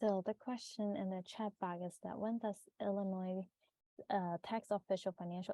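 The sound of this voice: A woman speaks fairly slowly in a dark, mellow tone. The sound is dry and close with no echo.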